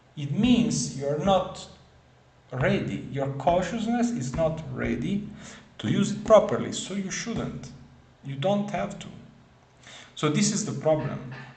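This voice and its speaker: A man with a non-native accent speaks in a high pitch at a fairly slow pace, with lively intonation, big swings in loudness and long, frequent pauses. Noticeable background noise and audible room echo surround him. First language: not English. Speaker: spiritual video creator. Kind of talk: casual monologue. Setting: at home in front of camera. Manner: halting, many fillers and repetitions.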